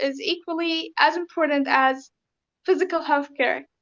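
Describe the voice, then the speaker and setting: A woman speaks with a Syrian accent. Her pitch varies in an ordinary way. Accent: Syrian Arabic accent in speech. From Syria (raised in Lebanon). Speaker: refugee interviewee. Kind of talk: interview. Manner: hesitant, many fillers.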